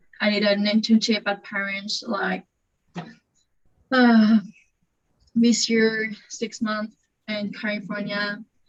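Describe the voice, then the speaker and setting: A woman's fairly high, somewhat breathy voice, monotone and flat, at a very slow pace with long, frequent pauses. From France. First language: French. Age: 20s. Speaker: panelist, law graduate. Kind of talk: panel discussion. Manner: halting.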